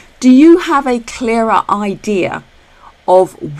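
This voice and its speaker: A woman with a British accent and lively intonation. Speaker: retirement planning educator. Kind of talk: tutorial. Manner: fast.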